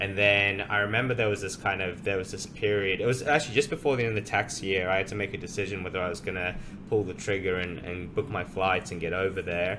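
With an Australian accent, a man speaks at a very fast pace with hardly any pauses, using fairly even intonation and a fairly low pitch. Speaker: podcast host. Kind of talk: casual interview chat.

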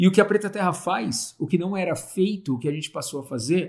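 A man with an ordinary speaking voice talks at a fairly quick pace with ordinary pitch variation. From Brazil, Santo André (São Paulo). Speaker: agroforestry entrepreneur. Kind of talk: casual chat.

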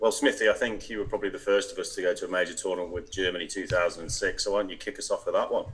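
Hardly pausing at all, a man talks at a very fast pace. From England, Burton upon Trent area. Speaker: podcast co-host. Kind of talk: casual chat. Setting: cricket net.

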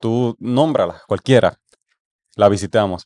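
Against a quiet background, a man speaks at a moderate pace in an ordinary speaking voice of medium pitch, the sound dry and close with no echo. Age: 20s. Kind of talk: casual chat.

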